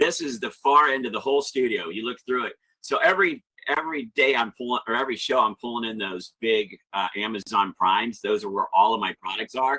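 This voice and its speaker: Loud and animated, a man speaks at a fairly quick pace and medium pitch with a bright, sharp tone. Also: dry, close sound with no echo. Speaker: live selling auction host. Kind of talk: webinar walkthrough with Q&A.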